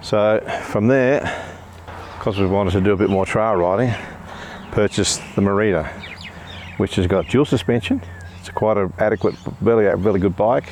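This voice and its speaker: A man at a moderate pace, fairly even in intonation, with long, frequent pauses and noticeable background noise. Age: 60s. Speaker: bike reviewer. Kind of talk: product review. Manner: halting.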